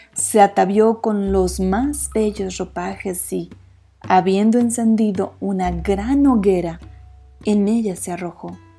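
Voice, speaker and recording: Music plays in the background. A woman talks at a very slow pace, soft-spoken. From Mexico. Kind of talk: sleep story. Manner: soft-spoken, relaxing.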